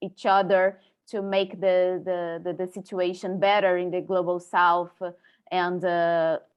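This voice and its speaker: A woman speaks at a very slow pace, her pitch sitting in the middle of the female range. Her intonation stays monotone and flat throughout. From Brazil. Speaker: webinar participant. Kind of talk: webinar discussion. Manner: halting, many repetitions.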